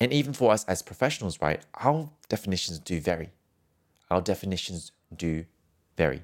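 A man with a very deep, low pitch speaks at a fairly quick pace. His pitch swings very widely, and he takes long, frequent pauses. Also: very clean recording, silent background. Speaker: singing teacher and podcast host. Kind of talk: solo podcast monologue, educational talk. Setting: podcast, solo recording. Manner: friendly, conversational, explanatory.

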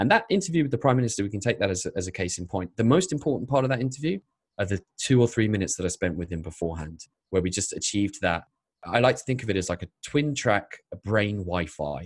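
Speaking very fast in an English accent, a man with a fairly low, somewhat breathy voice uses lively intonation. The recording is very clean with a silent background, and the sound is dry and close with no echo. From England. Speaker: YouTube storyteller and filmmaker. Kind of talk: interview.

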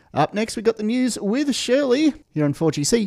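Recorded with dry, close sound and no echo, the voice is upbeat and animated, with an Australian accent and very wide pitch swings. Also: man. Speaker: radio DJ. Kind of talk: radio DJ patter, birthday tribute between songs. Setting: radio studio broadcast. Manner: upbeat, animated, chatty.

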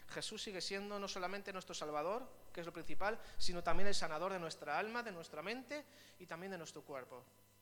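A man's high voice at a fairly quick pace, with ordinary pitch variation, big swings in loudness, audible room echo and noticeable background noise. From Spain, Vitoria (Basque Country). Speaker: pastor. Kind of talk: sermon.

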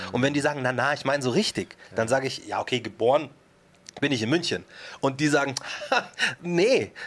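With long, frequent pauses, a man speaks in a fairly high pitch. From Upper Bavaria, Germany (Markt Schwaben near Munich). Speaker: rapper and author. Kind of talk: casual interview chat.

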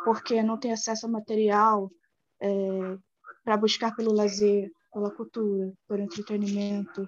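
The voice belongs to a woman. It sits at a medium pitch. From Baixada Fluminense, Rio de Janeiro, Brazil. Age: 20s. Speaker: university student. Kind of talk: class discussion. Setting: video call.

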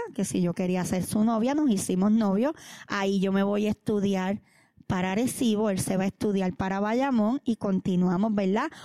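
Dark, mellow tone at very even loudness, dry and close with no echo, on a very clean recording with a silent background. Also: woman, medium pitch for a woman, ordinary pitch variation, moderate pace. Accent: Puerto Rican. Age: 40s. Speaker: pastor. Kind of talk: testimony.

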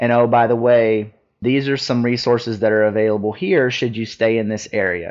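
Here is an ordinary speaking voice at a moderate pace. The intonation is fairly even. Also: man, medium pitch for a man. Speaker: Marine Corps veteran and veterans advocate. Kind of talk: interview.

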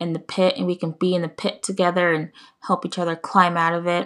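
Speaking fairly quickly with an American accent, a woman keeps a fairly low pitch and flat, monotone intonation. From United States. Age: 20s. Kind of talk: casual monologue. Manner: halting.

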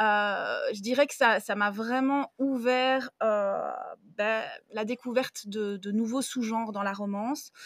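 A woman talks at a very slow pace in a fairly high pitch with ordinary pitch variation, recorded very cleanly against a silent background. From Belgium. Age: 30s. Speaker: book influencer and librarian. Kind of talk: casual chat.

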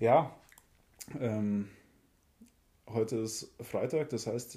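A man talks with fairly even intonation at a medium pitch. His tone is dark and mellow. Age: 30s. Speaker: podcast co-host. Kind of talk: casual chat.

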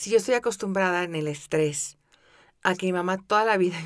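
In a Mexican accent, a woman speaks at a moderate pace with ordinary pitch variation on a very clean recording with a silent background. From Mexico City. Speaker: podcast host, wellbeing coach. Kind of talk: guided meditation; podcast monologue.

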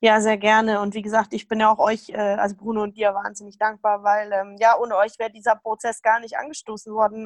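A woman speaks at a moderate pace in a fairly high pitch, the sound dry and close with no echo. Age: 20s. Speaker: rheumatism patient, retreat participant. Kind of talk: interview, personal testimony.

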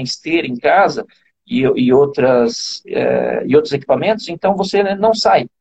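This man talks at a moderate pace. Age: 40s. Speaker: running coach. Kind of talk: interview. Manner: halting, frequent repetitions.

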